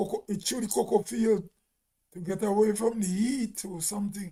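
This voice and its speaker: A man with a Grenadian accent speaks at a moderate pace. His pitch is high and his tone dark and mellow. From Grenada. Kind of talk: casual live stream talk.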